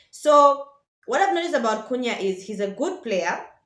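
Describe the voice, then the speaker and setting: A woman speaks in a high, animated voice that makes very wide pitch swings. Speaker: football vlogger. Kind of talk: casual vlog commentary. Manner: fast.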